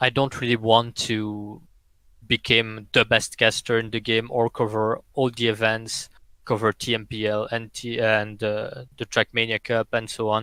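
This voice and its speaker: In a French accent, a man speaks with a bright, sharp tone at medium pitch, slowly enough to count as fairly slow, with monotone, flat intonation. The recording is very clean with a silent background, and the sound is dry and close with no echo. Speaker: esports player and caster. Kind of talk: podcast interview.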